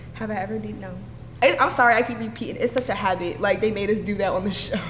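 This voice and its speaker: At a very fast pace, a woman talks amid noticeable background noise and audible room echo. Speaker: reality show contestant. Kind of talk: casual interview. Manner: loud.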